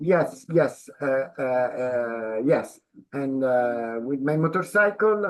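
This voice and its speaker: A man with an Italian accent and a fairly high pitch speaks at a very slow pace with lively intonation. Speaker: president of a cultural organization. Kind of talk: interview. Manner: halting.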